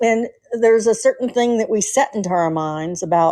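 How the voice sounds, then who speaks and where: A woman speaks in a strong Southern US accent at a fairly high pitch. Her tone is dark and mellow, with very wide pitch swings. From US South, Atlanta, Georgia. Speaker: nurse, caller. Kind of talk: casual call-in chat.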